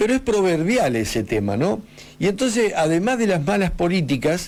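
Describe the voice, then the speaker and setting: Over noticeable background noise, a man with a high voice talks at a moderate pace, his pitch swinging very widely while his loudness stays very even. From Argentina, Patagonia (Río Negro) from age eight, born in Buenos Aires. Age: 50s. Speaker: radio host. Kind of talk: radio interview. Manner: halting, with fillers and restarts.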